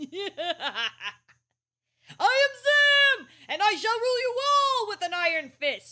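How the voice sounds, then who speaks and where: A put-on character voice rises to an extremely high pitch. It moves at a fairly slow pace, with long, frequent pauses. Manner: menacing, dramatic.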